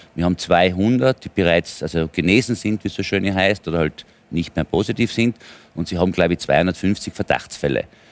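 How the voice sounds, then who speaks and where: A man speaks at a very deep, low pitch with ordinary pitch variation. His moderate pace comes through dry and close with no echo. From Tyrol, Austria. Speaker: politician and businessman. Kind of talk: heated debate.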